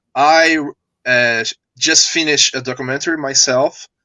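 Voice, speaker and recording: Speaking at a fairly slow pace, a man with a fairly high pitch uses ordinary pitch variation. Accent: Portuguese. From Brazil. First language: Portuguese. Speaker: filmmaker. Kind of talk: live video interview. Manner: halting.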